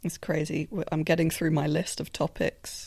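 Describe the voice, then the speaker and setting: With a British accent, a woman speaks at a moderate pace in a somewhat breathy, fairly low-pitched voice. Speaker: podcast host. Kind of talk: casual chat. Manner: animated.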